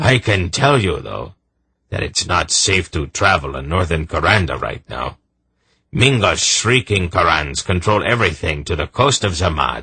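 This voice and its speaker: Using a gruff, put-on character voice, a man speaks at a moderate pace with a very deep, low pitch and very wide pitch swings. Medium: read story. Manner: blunt, gruff.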